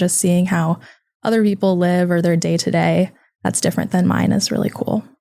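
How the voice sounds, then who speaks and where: A woman with a Californian accent at a fairly quick pace. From California, Sacramento. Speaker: college student. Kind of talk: podcast interview.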